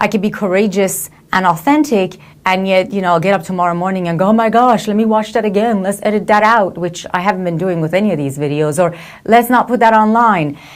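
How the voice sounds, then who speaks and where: At a very fast pace, a woman with a non-native accent talks at a medium pitch with ordinary pitch variation. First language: not English. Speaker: motivational speaker and coach. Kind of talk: reflective video monologue. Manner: hesitant, many fillers and restarts.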